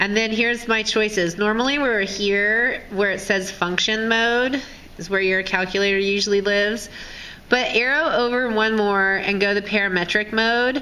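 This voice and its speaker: Over noticeable background noise and audible room echo, a woman speaks at a moderate pace with a fairly high pitch and fairly even intonation. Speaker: high school math teacher. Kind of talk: tutorial. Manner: casual.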